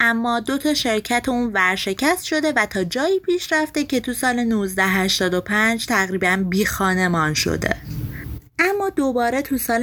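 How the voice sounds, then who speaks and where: A woman at a very slow pace with lively intonation. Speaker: podcast host summarizing books. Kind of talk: scripted narration.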